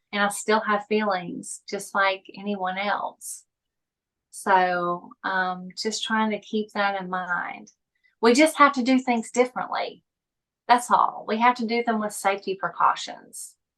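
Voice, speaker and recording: In a Southern US accent, a woman talks at a fairly slow pace with a medium pitch and ordinary pitch variation. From US South. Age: 40s. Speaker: epilepsy patient and suicide attempt survivor. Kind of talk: interview. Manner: halting, some word-finding trouble.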